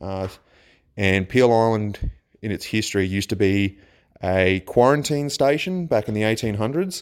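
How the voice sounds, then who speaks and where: This man speaks with an Australian accent and lively intonation. His pitch is fairly low. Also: moderate pace. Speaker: listener sharing ghost stories. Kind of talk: recorded personal story. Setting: self-recorded voice memo. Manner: halting.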